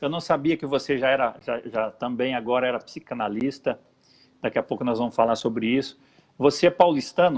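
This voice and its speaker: A man with a plain, everyday voice speaks at a fairly quick pace, his pitch medium and its variation ordinary. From interior of São Paulo state, Brazil. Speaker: pastor and show host. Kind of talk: casual chat. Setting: live video broadcast.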